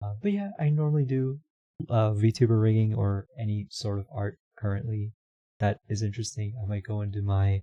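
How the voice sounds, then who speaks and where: Quiet and somewhat breathy, a man's fairly low voice has a dark, mellow tone, ordinary pitch variation and a moderate pace, with a dry, close sound and no echo. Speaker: streamer and VTuber rigging artist. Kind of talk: casual livestream chat. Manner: mumbling.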